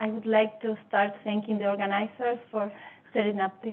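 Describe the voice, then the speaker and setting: This woman speaks with a non-native accent. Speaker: scientist. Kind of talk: conference talk.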